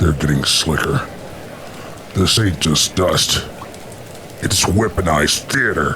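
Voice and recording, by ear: A put-on character voice with a bright, sharp tone comes through audible room echo. It moves at a slow pace with ordinary pitch variation. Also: man, extremely low pitch for a man.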